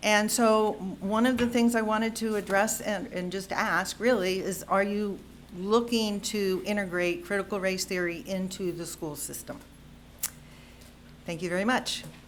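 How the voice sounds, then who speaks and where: A woman with an American accent speaks at medium pitch and a moderate pace, her intonation fairly even. There is audible room echo. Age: 60s. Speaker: health professional, public commenter. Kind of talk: public comment at board meeting. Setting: school board meeting, podium.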